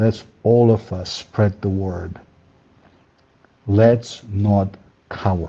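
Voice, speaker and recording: Very slow, somewhat breathy speech in a dark, mellow tone, monotone and flat, with long, frequent pauses. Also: man, fairly low pitch for a man. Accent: non-native. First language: not English. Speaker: caller. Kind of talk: call-in encouragement speech.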